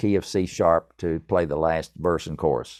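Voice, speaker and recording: A man with a Tennessee accent talks at a moderate pace. The background is quiet, and the sound is dry and close with no echo. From East Tennessee. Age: 70s. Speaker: musician and author. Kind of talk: podcast interview.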